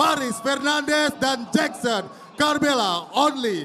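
Over noticeable background noise, the voice moves at a very slow pace with ordinary pitch variation. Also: man. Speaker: ring announcer. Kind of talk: stadium announcer introducing fighters. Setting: stage with live audience. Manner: loud, hyped, crowd-rousing.

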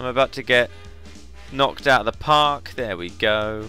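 With music in the background, a man with a medium-pitched voice talks at a moderate pace using lively intonation. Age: 20s. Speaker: video game guide maker. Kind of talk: casual game walkthrough commentary. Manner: light-hearted.

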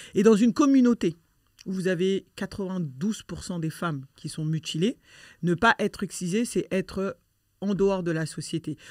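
Here a woman at medium pitch uses lively intonation in an ordinary speaking voice. The sound is dry and close with no echo, a very clean recording over a silent background. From France (born in Mali, arrived as a toddler). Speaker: association president, activist against female genital mutilation. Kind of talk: conversational interview.

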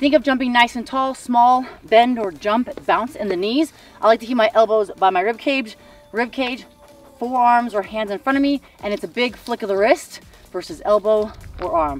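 A woman speaks at a moderate pace in a high voice. The sound is dry with no echo, with faint music in the background. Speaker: fitness coach. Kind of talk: tutorial. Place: open country.

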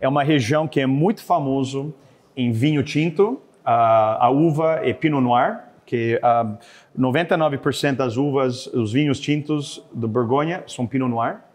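This man talks at a very slow pace in a fairly high pitch. His pitch varies in an ordinary way. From Canada. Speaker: chef and restaurant owner; guest. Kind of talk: cooking demonstration; cooking demonstration talk. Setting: studio. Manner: halting, with frequent fillers. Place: kitchen.

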